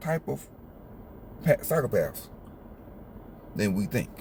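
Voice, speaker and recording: In an American accent, a man talks at a fairly slow pace. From US South. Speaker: YouTuber. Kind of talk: casual vlog commentary. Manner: halting, repeats words; animated.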